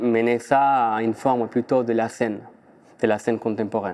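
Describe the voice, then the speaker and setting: A man with an Argentine accent speaks at a medium pitch. His pace is fairly slow and his intonation fairly even. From Argentina, Buenos Aires. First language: Spanish (speaking French). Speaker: dancer and choreographer. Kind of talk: interview. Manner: halting.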